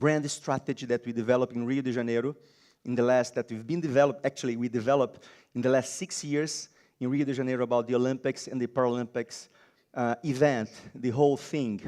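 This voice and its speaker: Very fast speech from a man with a Brazilian accent and a dark, mellow tone, on a very clean recording with a silent background. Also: medium pitch for a man. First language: Portuguese. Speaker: designer and biomimicry lecturer. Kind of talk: conference talk. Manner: halting.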